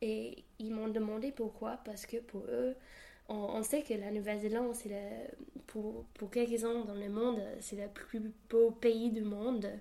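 In a New Zealand accent, the speaker talks at a very slow pace with a dark, mellow tone and monotone, flat intonation. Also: woman. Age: 20s. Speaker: university student. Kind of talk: interview.

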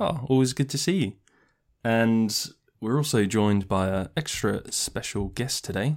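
With a normal speaking voice, a man talks fairly slowly at a medium pitch, his intonation lively. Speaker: podcast host. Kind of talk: casual chat. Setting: video call.

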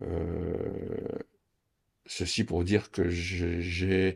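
A man speaks in a very deep, low pitch. The recording is very clean and the background silent. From France, Champagne (Reims). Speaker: wine tasting host, retiree. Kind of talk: interview. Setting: at home. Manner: halting.

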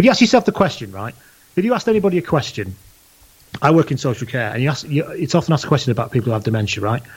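Somewhat breathy and very fast, a man with a fairly high voice speaks with very wide pitch swings. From northern England (Leigh, Lancashire). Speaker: podcast host and rugby blogger. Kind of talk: casual chat.

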